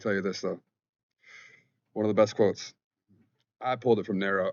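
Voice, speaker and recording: A man speaks with a fairly low pitch. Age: 30s. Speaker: spirituality vlogger. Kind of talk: casual monologue vlog. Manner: fast; informal, halting.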